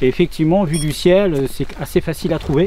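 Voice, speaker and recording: A man at a fairly high pitch, with noticeable background noise. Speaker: urban explorer vlogger. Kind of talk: casual vlog commentary. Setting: outdoors. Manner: hesitant, many fillers.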